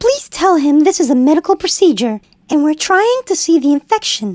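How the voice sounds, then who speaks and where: A woman puts on a squeaky character voice at an extremely high pitch, calm in tone, moving at a moderate pace with very wide pitch swings and very even loudness. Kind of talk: clinical bedside speech. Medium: puppet show. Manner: calm, polite, patient.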